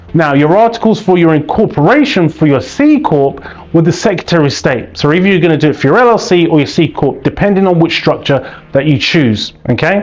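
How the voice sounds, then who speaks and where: Over noticeable background noise, a man with a British accent speaks at a high pitch and fairly quick pace, with hardly any pauses, lively intonation and very even loudness. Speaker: business funding educator, YouTuber. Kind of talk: educational explainer to camera. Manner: energetic, conversational.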